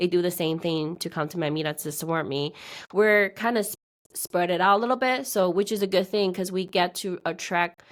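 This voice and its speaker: At a fairly quick pace, a woman with a fairly low pitch speaks with ordinary pitch variation on a very clean recording with a silent background. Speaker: real estate investor running meetups. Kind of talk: casual interview.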